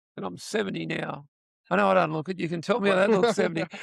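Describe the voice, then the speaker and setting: A man with an Australian accent. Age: 70s. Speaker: voice actor and retired school principal. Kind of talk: casual interview. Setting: convention floor. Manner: halting.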